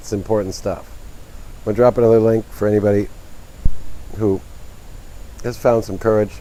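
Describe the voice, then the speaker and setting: With a dark, mellow tone and fairly low pitch, a man talks at a fairly quick pace in monotone, flat intonation, leaving long, frequent pauses. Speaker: livestream host discussing science and philosophy. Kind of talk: casual livestream chat. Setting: outdoors.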